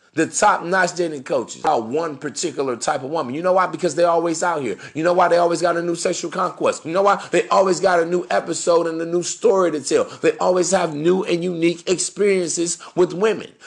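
A man talks at a very fast clip in a high voice, sounding animated over noticeable background noise. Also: hardly any pauses. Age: 30s. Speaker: dating advice podcaster. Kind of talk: solo monologue.

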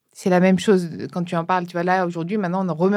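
A woman talks at a very fast pace. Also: very clean recording, silent background. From France, Brittany. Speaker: podcast host. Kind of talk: interview.

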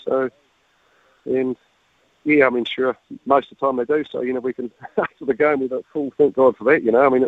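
Speaking fairly quickly yet with long, frequent pauses, a man with a New Zealand accent holds a medium pitch and fairly even intonation. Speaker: dairy farmer, father of rugby players. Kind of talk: radio interview.

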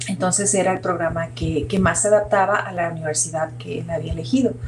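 Noticeable background noise and audible room echo surround a woman talking at a fairly quick pace. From northwest Mexico (Sinaloa, Sonora). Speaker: biomedical engineering professor and researcher. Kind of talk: interview.

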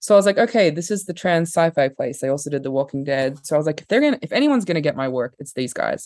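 The speaker races along at a very fast pace with an Australian accent, leaving hardly any pauses. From Australia, Perth. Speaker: filmmaker and artist. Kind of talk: casual chat.

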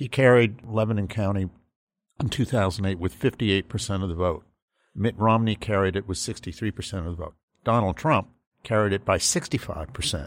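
A man uses a plain, everyday voice at a fairly low pitch with ordinary pitch variation. He talks at a fairly quick pace on a very clean recording with a silent background. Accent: American. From Massachusetts. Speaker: conservative political analyst. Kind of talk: political panel discussion.

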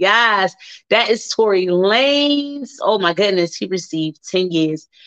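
A loud woman speaks at a fairly slow pace in an animated tone with very wide pitch swings. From Baltimore, US. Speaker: radio host. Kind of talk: casual talk show monologue. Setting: live radio broadcast. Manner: loud, animated.

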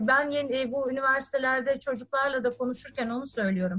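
Her pitch is high, and the woman's intonation varies in an ordinary way. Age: 40s. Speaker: technology company executive. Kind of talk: interview. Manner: frequent filler hesitations.

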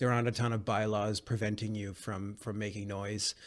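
Speaking at a fairly quick pace in a Western Canadian accent, a man is heard over a quiet background. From Vancouver, Canada. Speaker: jazz trumpet player. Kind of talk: interview.

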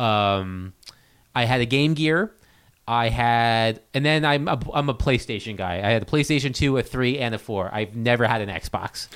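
With a normal speaking voice, a man talks at a moderate pace and medium pitch, using ordinary pitch variation. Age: 30s. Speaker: hockey beat writer. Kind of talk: casual chat. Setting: studio.

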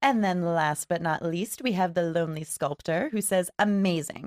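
An unremarkable speaking voice, a woman's and fairly low in pitch, at a moderate pace with a dry, close sound and no echo. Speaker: podcast co-host. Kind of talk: casual chat. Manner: laughs often.

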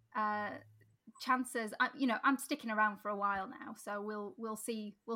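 With a Sheffield accent, a woman speaks in a fairly high-pitched voice with a bright, sharp tone. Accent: Yorkshire (Sheffield). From South Yorkshire, Sheffield. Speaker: mayoral candidate. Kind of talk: interview.

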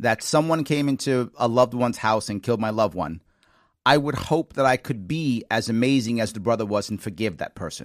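This man has a New York accent and a medium pitch with ordinary pitch variation. He talks at a fairly quick pace in a dry, close sound with no echo. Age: 50s. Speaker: talk show host and former candidate. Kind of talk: call-in talk show interview. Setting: studio.

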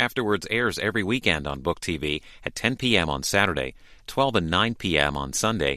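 A man with a very deep, low pitch and vocal fry speaks in a bright, sharp tone on a very clean recording with a silent background. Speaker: program announcer. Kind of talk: announcer narration.

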